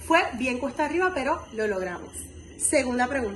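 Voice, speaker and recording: Over noticeable background noise, a woman talks in a high pitch with lively intonation. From Puerto Rico, Camuy. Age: 20s. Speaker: university student leader. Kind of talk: testimonial interview answers.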